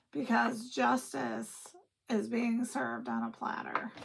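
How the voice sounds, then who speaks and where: At a very slow pace, a woman talks. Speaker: tarot reader. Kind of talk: tarot reading to camera. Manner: casual, swears a bit.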